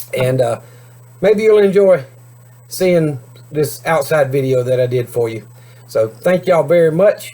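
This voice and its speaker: Over noticeable background noise, a man with a fairly high voice and ordinary pitch variation talks at a moderate pace. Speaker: homesteading YouTuber. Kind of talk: casual vlog talk to camera. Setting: outdoors. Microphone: cheap camera, video freezes and skips words.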